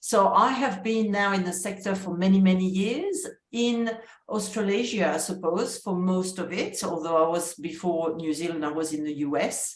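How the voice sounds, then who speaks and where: A woman with a French accent is heard amid audible room echo and noticeable background noise. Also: medium pitch for a woman, ordinary pitch variation, moderate pace. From France. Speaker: university vice-chancellor. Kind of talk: interview conversation.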